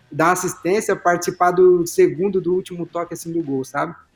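A man's high-pitched voice at a fairly quick pace, fairly even in intonation, with music in the background. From Brazil, São Paulo state. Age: 20s. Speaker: professional footballer. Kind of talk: casual chat.

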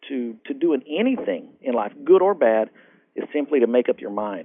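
This man speaks with a Texan accent at a moderate pace. His pitch sits in the medium range and varies in an ordinary way. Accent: Texan American. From Texas, Fort Worth. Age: 40s. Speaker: motivational speaker. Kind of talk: interview. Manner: halting, frequent fillers.

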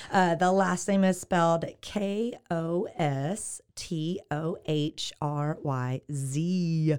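A woman with a Texan accent talks at a very slow pace in a fairly low voice with ordinary pitch variation and hardly any pauses. The recording is very clean with a silent background. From Texas, Waco. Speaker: realtor. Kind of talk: casual interview.

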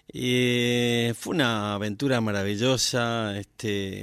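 A man's voice at a medium pitch. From Argentina, Formosa province (Las Lomitas). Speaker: singer-songwriter. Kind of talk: casual radio interview. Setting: radio studio, live. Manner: hesitant, many fillers and repetitions.

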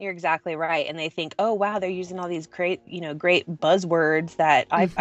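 A woman with an American accent uses a normal speaking voice at a fairly low pitch. Her pace is fairly quick and her intonation fairly even. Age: 30s. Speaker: web developer and business owner. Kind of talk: interview.

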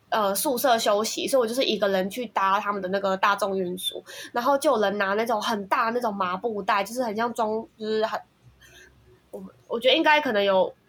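At a fairly quick pace, an ordinary speaking voice comes across with ordinary pitch variation. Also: woman, fairly high pitch for a woman. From Taiwan. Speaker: software engineer. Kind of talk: casual chat.

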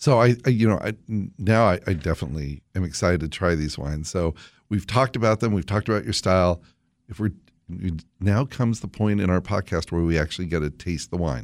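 Talking at a very fast pace, a man with a very deep, low voice keeps his intonation lively. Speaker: podcast host. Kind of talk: casual interview.

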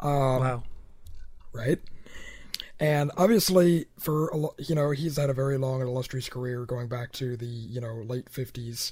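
A man's somewhat breathy, medium-pitched voice at a fairly slow pace, with ordinary pitch variation and long, frequent pauses. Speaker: podcast host. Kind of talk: casual chat.

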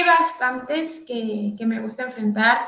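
This woman talks at a fairly slow pace with a fairly high pitch and an ordinary speaking voice. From Tijuana, Baja California, Mexico. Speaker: professional footballer. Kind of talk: interview. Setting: live stream.

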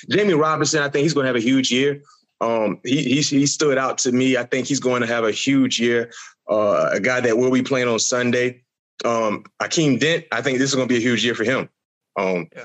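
Using a normal speaking voice, a man talks fairly quickly at a medium pitch with ordinary pitch variation. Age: 40s. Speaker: former college football player, podcast co-guest. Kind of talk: casual sports chat.

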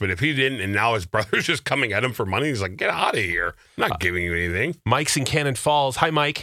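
This is a man. He has an ordinary speaking voice. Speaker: radio host. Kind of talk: casual chat.

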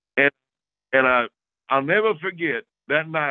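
At a moderate pace, a man with an Oklahoma accent speaks in a medium pitch with lively intonation. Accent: Oklahoma Southern US. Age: 60s. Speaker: hunting video host. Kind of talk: casual interview storytelling. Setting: remote call. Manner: repeats words often.

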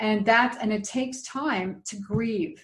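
A woman talks in a plain, everyday voice with fairly high pitch. Her intonation is lively. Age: 60s. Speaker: dating coach and minister. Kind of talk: interview conversation.

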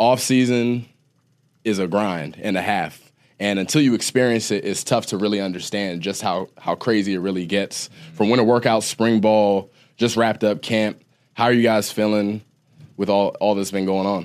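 A man with an American accent speaks in a plain, everyday voice at a moderate pace, his pitch fairly low and his intonation fairly even. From Ohio. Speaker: podcast host and former college football player. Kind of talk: casual chat.

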